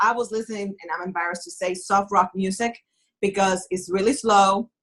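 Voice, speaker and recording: This woman's voice sits at a medium pitch, with ordinary pitch variation and a non-native accent. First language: not English. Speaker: author and writing coach. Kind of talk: interview. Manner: animated.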